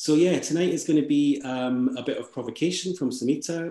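A man with a Scottish accent and a dark, mellow tone, fairly quick pace, ordinary pitch variation, quiet background and audible room echo. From Scotland. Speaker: event organizer. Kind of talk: event hosting. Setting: video call. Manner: warm. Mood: warm, welcoming. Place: home room. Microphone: video call.

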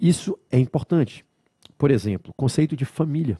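A man's fairly high voice with a dark, mellow tone and vocal fry, at a fairly quick pace over a quiet background. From Brazil. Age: 40s. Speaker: law lecturer. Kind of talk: lecture. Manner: didactic, conversational. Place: studio. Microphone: headset.

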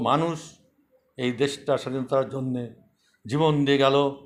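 A man's fairly high-pitched voice. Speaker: war veteran. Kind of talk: monologue commentary.

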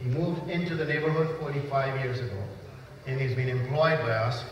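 A man talks in a fairly high voice with ordinary pitch variation. Noticeable background noise and audible room echo are present. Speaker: master of ceremonies. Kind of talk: event emceeing. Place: church. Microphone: pa.

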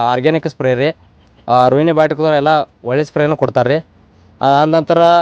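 With a plain, everyday voice, a man speaks at a fairly high pitch and with fairly even intonation, the sound dry and close with no echo against a quiet background. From India, northern Karnataka (Belagavi district). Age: young. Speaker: farmer. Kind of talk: interview.

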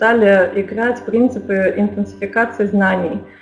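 Lively intonation carries the speech at a moderate pace over noticeable background noise. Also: woman. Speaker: school principal. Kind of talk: webinar presentation. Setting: online webinar. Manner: formal.

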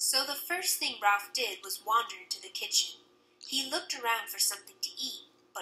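What you hear is plain reading aloud.

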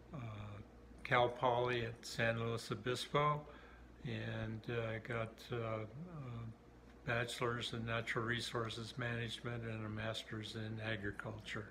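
Noticeable background noise sits behind a man with an Upper Midwest accent. He speaks at a fairly slow pace with monotone, flat intonation. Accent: Upper Midwest American. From southern Minnesota, USA. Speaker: US Navy submarine veteran. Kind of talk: interview answer. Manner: hesitant, many fillers. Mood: warm, reminiscing. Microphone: phone near.

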